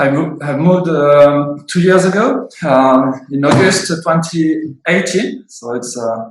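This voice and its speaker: Speaking very slowly, a man with a French accent uses a fairly high pitch. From France, Bordeaux. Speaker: winemaker. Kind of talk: interview. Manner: halting, many fillers.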